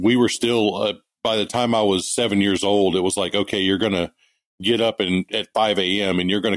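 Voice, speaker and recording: In a Texan accent, a man talks at a fairly quick pace with a fairly low pitch and monotone, flat intonation. The sound is dry and close, with no echo. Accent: Texan Southern US. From East Texas. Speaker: part-time knifemaker. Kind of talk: interview. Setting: remote call.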